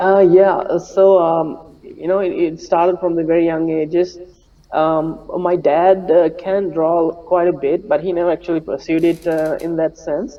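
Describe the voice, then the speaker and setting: Over noticeable background noise, a man speaks slowly at a high pitch, his intonation flat and monotone. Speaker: animator. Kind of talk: interview. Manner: soft-spoken; halting, many fillers.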